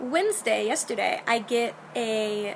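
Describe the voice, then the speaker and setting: A woman speaks with a fairly high pitch. Noticeable background noise can be heard. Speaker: video blogger, theatre stage manager. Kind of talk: casual video diary. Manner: animated.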